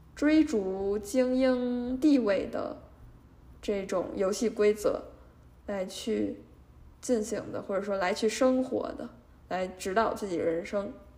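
Audible room echo surrounds a woman who talks at a very slow pace, her fairly high pitch showing ordinary variation. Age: 20s. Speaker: podcast host and junior litigation lawyer. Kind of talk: casual solo monologue. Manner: hesitant, many filler sounds.

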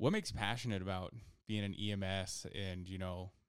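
With an American accent, a man uses a normal speaking voice at a fairly low pitch and a moderate pace, his intonation fairly even, on a very clean recording with a silent background. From rural southern Idaho. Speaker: podcast host and paramedic. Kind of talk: casual chat.

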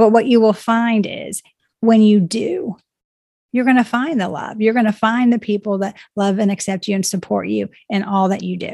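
At a moderate pace, a woman speaks with a fairly high pitch. Her voice is somewhat breathy. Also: fairly even intonation. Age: 50s. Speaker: life coach and author. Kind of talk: interview conversation.

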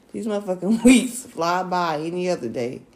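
Against noticeable background noise, a woman with a medium pitch speaks at a moderate pace with lively intonation. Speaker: podcast co-host. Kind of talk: casual chat. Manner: soft-spoken.

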